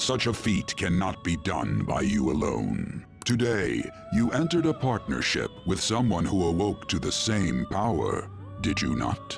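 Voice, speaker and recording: With clear music in the background, a man uses a put-on character voice of very deep, low pitch at a moderate pace. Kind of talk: ornate formal speech. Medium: game stream. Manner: slow, measured, cryptic.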